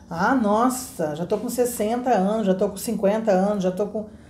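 Audible room echo surrounds a woman's somewhat breathy, medium-pitched voice, which moves at a moderate pace. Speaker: English teacher. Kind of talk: interview question. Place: home room. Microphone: lapel.

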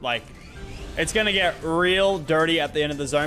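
A man talks, his pitch varying in an ordinary way. Behind him, music can be heard. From Australia. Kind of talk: casual gaming stream commentary. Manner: fast.

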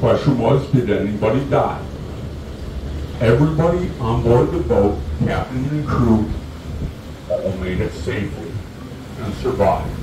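Over noticeable background noise and audible room echo, a man speaks at a fairly slow pace with long, frequent pauses. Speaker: boat tour guide. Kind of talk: tour commentary. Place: boat.

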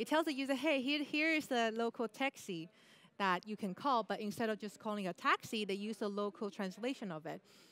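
A woman's fairly high voice in a Chinese accent, fairly quick in pace, with a dry sound and no echo. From Taiwan, then Canada from age 12. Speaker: UX product designer. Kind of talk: conference talk. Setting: stage with audience. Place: stage. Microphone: headset.

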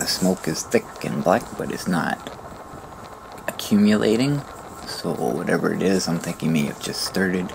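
A man with a very deep, low pitch speaks at a moderate pace, leaving long, frequent pauses. Background noise is noticeable. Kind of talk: retrospective vlog narration. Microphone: phone near.

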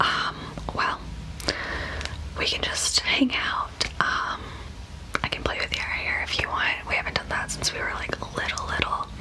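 A woman whispering at a moderate pace, with long, frequent pauses. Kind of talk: roleplay chat to camera. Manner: soft, gentle ASMR speaking voice. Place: home room. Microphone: phone near.

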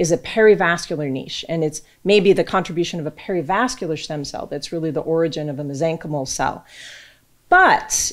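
A woman with a normal speaking voice talks at a fairly quick pace, fairly low in pitch with ordinary pitch variation. Her loudness swings widely against a quiet background. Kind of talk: lecture. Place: hall. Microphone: podium.

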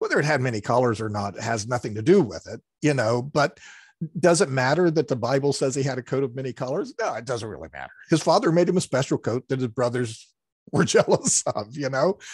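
A man talks at a fairly quick pace in a somewhat breathy voice. The sound is dry with no echo, against a quiet background. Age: 60s. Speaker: retired pastor; pastor, podcast guest. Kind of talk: interview, explaining Bible passages; interview answer. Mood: calm, explanatory. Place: home room. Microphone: headset.

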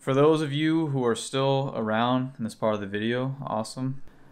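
A man is speaking. His intonation stays fairly even. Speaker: car vlogger. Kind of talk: casual vlog chat. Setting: beside his car, recording on an action camera. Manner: monotone; talks fast at times, mumbles. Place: home room.

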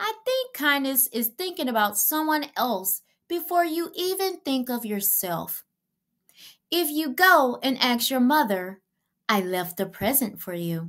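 A woman puts on a character voice at a high pitch, with big swings in pitch, a fairly bright tone and a fairly slow pace, in a very clean recording with a silent background.

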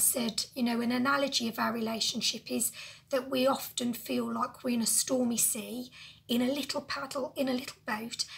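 A woman's high-pitched, monotone, flat delivery at a moderate pace. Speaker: lifestyle vlogger. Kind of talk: casual talk to camera. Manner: emotional, personal. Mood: emotional, reflective. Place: home room. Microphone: phone near.

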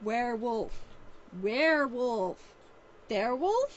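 Using a put-on character voice with a high pitch, a woman speaks at a fairly slow pace over clear background noise. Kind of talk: reading a novel aloud. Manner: solemn, mock-serious.

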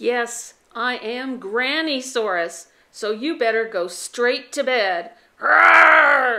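A woman's put-on character voice, growling and playful, high-pitched and at a very slow pace. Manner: growling, playful.

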